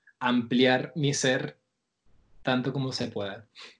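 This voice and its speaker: A man's medium-pitched voice at a very slow pace. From Venezuela. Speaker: podcast host and audiovisual artist. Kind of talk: scripted narration; casual chat.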